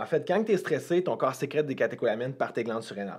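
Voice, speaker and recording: A man with a Quebec accent talks at a very fast pace. His fairly high voice carries lively intonation. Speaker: health and fitness coach. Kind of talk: casual podcast discussion.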